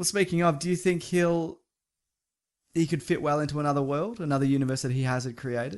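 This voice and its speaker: A man with an Australian accent talks at a fairly quick pace in a high voice. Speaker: podcast host, film news editor. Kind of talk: casual chat. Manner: laughs often.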